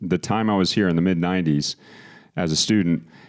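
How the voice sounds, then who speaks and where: A man with an American accent speaks at a very deep, low pitch. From Texas, Austin. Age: 40s. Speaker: city mayor. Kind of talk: interview. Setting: studio.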